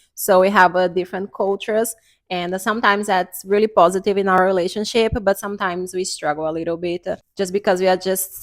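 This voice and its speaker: A woman with a Portuguese accent talks fairly quickly with hardly any pauses, at a medium pitch and in a monotone, flat intonation, on a very clean recording with a silent background. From Brazil. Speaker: YouTuber. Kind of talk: casual chat. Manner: halting, many fillers.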